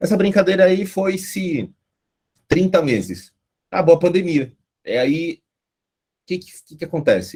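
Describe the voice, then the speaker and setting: With long, frequent pauses and big swings in loudness, a man speaks in a dark, mellow tone at a high pitch. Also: ordinary pitch variation, fairly slow pace. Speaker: guest lecturer on agile methods. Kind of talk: online lecture. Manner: casual, animated.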